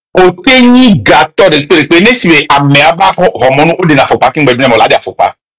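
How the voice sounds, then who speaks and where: With a dry, close sound and no echo, a man speaks at a fairly slow pace with very wide pitch swings. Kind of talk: heated debate. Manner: loud, passionate.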